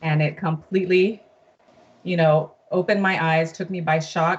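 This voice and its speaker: This woman has a very deep, low pitch and an American accent, sounding somewhat breathy with fairly even intonation at a moderate pace. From US (raised from infancy, Brazilian-born). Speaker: guest, mother sharing her family court case. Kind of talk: testimony.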